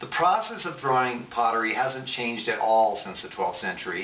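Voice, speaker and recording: A man keeps a moderate pace, his voice carrying audible room echo amid noticeable background noise. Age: 50s. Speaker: potter. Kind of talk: tutorial. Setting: home pottery studio. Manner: casual, with fillers and hesitations.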